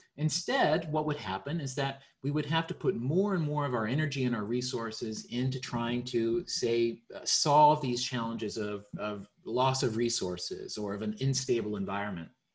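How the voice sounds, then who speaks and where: A man talks at a moderate pace with lively intonation and a somewhat breathy voice. The background is quiet. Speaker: presenter. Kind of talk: explanatory presentation. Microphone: video call.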